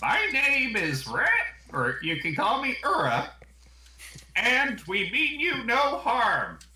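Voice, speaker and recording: A man does a put-on character voice at an extremely high pitch. He moves very slowly, with long, frequent pauses. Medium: actual play.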